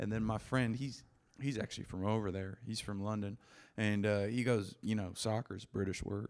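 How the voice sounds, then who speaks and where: A man with a fairly low pitch speaks at a moderate pace in an ordinary speaking voice. His intonation stays fairly even. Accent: American. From US Pacific Northwest (Seattle). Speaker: comedian. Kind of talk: casual chat.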